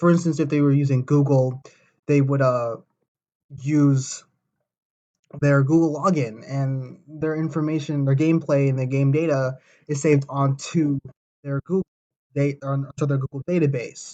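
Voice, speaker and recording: Speech at a moderate pace with long, frequent pauses. The intonation is monotone and flat. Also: man, fairly high pitch for a man. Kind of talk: informal presentation. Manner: halting, many fillers.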